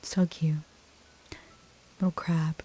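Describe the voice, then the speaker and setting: Soft-spoken, relaxed tone at a fairly slow pace over noticeable background noise. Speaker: ASMR gaming YouTuber. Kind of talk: casual reactions and commentary to the game.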